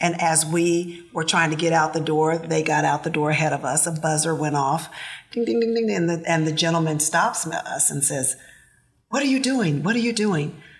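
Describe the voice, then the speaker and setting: A woman's ordinary speaking voice, fairly low in pitch, at a moderate pace. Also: lively intonation. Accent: American. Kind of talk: casual chat.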